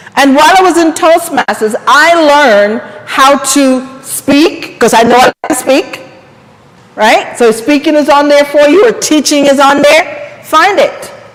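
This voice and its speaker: Noticeable background noise sits behind a woman's animated, high-pitched voice, which shows ordinary pitch variation. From Jamaica. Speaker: empowerment coach and speaker. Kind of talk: seminar talk.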